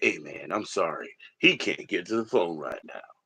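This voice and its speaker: A man in a put-on character voice makes big swings in loudness. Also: moderate pace. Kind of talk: casual, hip. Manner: cool, apologetic, relaxed.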